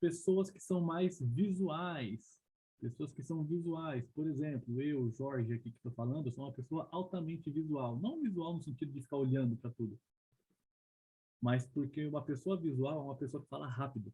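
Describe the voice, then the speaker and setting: Fairly high male pitch, with ordinary pitch variation. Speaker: leadership trainer. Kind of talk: online training presentation. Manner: fast; animated.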